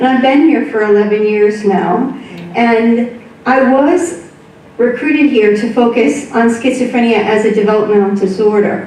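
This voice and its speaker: In an American accent, a woman with a fairly high pitch speaks at a moderate pace with ordinary pitch variation and very even loudness, amid audible room echo and noticeable background noise. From US, upstate New York. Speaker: research professor. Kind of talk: public lecture. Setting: club hall with audience.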